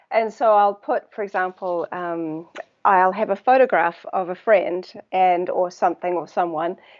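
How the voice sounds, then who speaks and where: A woman with a New Zealand accent speaks at a medium pitch and moderate pace, with ordinary pitch variation. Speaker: water researcher. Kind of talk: interview conversation. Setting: live video stream. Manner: hesitant, many fillers.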